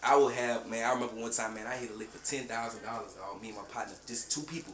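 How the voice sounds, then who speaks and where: A man with an American accent at a medium pitch, very fast pace and fairly even intonation, amid noticeable background noise and audible room echo. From South Carolina. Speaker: podcast co-host. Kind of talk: casual chat.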